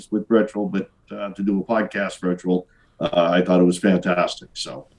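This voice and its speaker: At a fairly quick pace, a man talks in a Boston accent. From Boston area, Massachusetts. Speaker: business owner, sales rep. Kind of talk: casual interview. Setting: video call. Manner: hesitant, many fillers.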